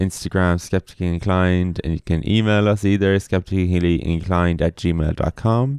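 A man talks at a moderate pace with a very deep, low pitch and fairly even intonation. His loudness stays very even, and there are hardly any pauses. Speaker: podcast host. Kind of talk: casual podcast chat.

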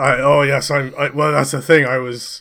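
With an Edinburgh accent, a man speaks in a bright, sharp, fairly high voice with monotone, flat intonation in a very clean recording with a silent background. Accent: Scottish (Edinburgh). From Scotland, Edinburgh. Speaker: comedy podcast co-host and player. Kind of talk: improv role-play game, casual chat.

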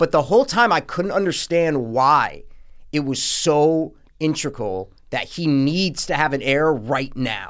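At a fairly slow pace, a man with an ordinary speaking voice and fairly high pitch talks with lively intonation in a very clean recording with a silent background. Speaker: movie review podcast co-host. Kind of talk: casual chat.

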